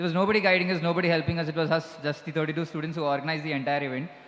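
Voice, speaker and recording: A high-pitched man with fairly even intonation against noticeable background noise. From southern India, Kanyakumari district, Tamil Nadu. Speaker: school alumnus, guest of honour. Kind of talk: speech. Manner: halting.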